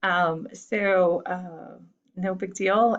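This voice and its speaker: Her pitch sits at a medium level. The woman's intonation stays fairly even. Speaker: high school teacher. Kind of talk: recorded lecture. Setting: home recording. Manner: fast.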